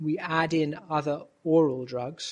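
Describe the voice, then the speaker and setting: This man's voice sits fairly high and comes out somewhat breathy. His intonation stays fairly even. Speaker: rheumatologist. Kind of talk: interview.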